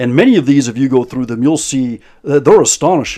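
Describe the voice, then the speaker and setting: Lively intonation marks this man's dark, mellow voice, pitched at a medium level. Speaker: commentary youtuber. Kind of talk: video commentary. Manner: halting, repeated words.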